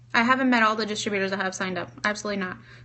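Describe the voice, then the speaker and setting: A woman's fairly high voice with ordinary pitch variation, set against noticeable background noise. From Cuba. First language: Spanish. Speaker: network marketing trainer. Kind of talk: live-stream training with Q&A.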